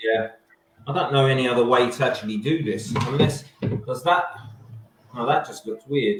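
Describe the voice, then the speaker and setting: With an Essex accent, a man speaks at a medium pitch and a moderate pace, with ordinary pitch variation and long, frequent pauses. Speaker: livestream co-host of food challenge show. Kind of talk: casual chat. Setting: live video stream.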